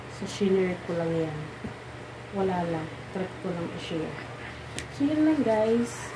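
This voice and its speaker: A soft-spoken woman talks at a moderate pace amid noticeable background noise and audible room echo. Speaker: vlogger. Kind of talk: casual vlog talk.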